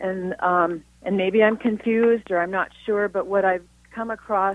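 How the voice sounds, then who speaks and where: Recorded with a dry, close sound and no echo, a woman with an ordinary speaking voice talks at a moderate pace and medium pitch, with ordinary pitch variation. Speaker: caller. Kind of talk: casual chat asking a question. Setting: phone call.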